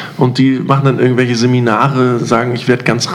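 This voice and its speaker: With noticeable background noise behind him, this man keeps a moderate pace and a medium pitch. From East Germany. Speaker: podcast host. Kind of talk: casual chat.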